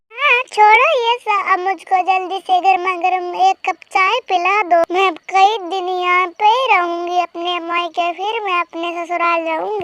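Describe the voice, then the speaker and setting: A woman does a cartoonish character voice at an extremely high pitch, with fairly even intonation. She keeps a moderate pace with hardly any pauses, in a dry, close sound with no echo. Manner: soft, respectful.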